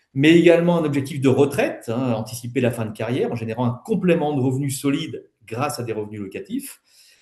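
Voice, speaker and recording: A man's fairly high, somewhat breathy voice with a dark, mellow tone, ordinary pitch variation and a very fast pace. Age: 60s. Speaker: wealth management advisor and property developer. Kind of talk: webinar presentation. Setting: online webinar. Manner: hesitant, many fillers.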